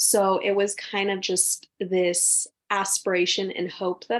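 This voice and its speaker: The woman's pitch is medium. Nothing much stirs in the quiet background. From US West Coast, San Francisco Bay Area. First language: Spanish. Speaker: author. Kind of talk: podcast interview.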